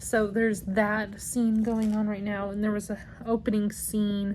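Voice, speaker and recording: Very slowly and in a monotone, flat intonation, a woman with a medium pitch speaks in a somewhat breathy voice. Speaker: book vlogger. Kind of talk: casual vlog chat. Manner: hesitant with many ums.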